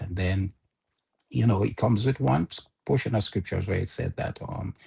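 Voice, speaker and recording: Somewhat breathy and fairly low in pitch, a man speaks with a dark, mellow tone. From Jamaica. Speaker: interview guest. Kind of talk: interview, personal testimony. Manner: halting with many fillers.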